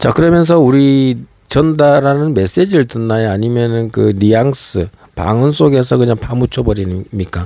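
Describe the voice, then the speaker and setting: A man with a medium pitch speaks at a moderate pace in a dark, mellow tone, his loudness very even and his intonation lively. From Gangwon Province, South Korea. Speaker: political commentator, YouTuber. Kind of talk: political monologue. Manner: rhetorical, many fillers.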